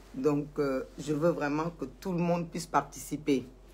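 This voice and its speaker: A woman's very deep, low voice, somewhat breathy, with fairly even intonation. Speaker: social media commentator. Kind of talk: live stream monologue. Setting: Facebook live video. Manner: slow. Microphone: poor sound, at max volume.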